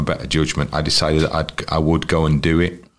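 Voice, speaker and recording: A man speaks in a North Welsh accent with a very deep, low pitch. His pace is moderate. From North Wales, Wrexham. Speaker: football commentator and broadcaster. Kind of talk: interview. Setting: at his home.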